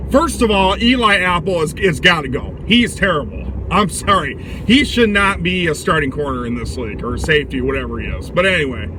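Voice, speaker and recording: A man speaks fairly quickly. Both noticeable background noise and audible room echo are present. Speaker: sports vlogger. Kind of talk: casual commentary monologue. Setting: in a car. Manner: loud.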